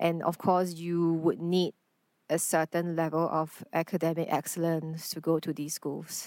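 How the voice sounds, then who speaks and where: In a very clean recording with a silent background, a woman speaks in monotone, flat intonation with a Chinese accent. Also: fairly slow pace. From Singapore. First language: Mandarin Chinese. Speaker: actor. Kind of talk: interview conversation.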